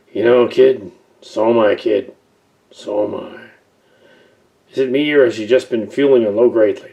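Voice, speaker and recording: A raspy, put-on character voice at a moderate pace, broken by long, frequent pauses. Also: man, medium pitch for a man. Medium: audio drama. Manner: warm, casual.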